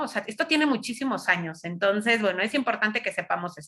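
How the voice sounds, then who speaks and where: Loud and with very wide pitch swings, a woman speaks. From Mexico City. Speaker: psychologist and lecturer. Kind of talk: lecture.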